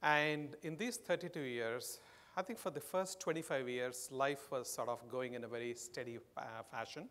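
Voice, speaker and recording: A man with an Indian accent speaks at a fairly high pitch. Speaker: marketing executive. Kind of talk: conference keynote.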